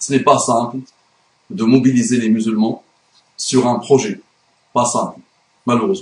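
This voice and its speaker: A man's somewhat breathy voice at medium pitch, fairly slow, with ordinary pitch variation and long, frequent pauses. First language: Arabic (speaking French). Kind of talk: video monologue / religious rebuttal.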